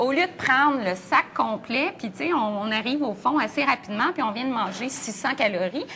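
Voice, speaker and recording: Speaking in a Quebec accent, a woman with a high voice and lively intonation keeps a moderate pace with hardly any pauses. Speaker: nutrition expert. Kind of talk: TV morning show interview.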